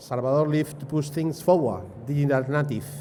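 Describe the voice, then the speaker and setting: Speaking at a moderate pace in a Spanish accent, a man has a fairly high pitch with ordinary pitch variation. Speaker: event host. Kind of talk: speaker introduction.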